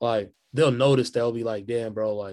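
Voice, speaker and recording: A man speaks at medium pitch. His intonation is fairly even and his pace fairly quick. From Kansas City, Missouri. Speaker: hip hop artist, musician. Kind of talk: casual interview chat. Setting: video call.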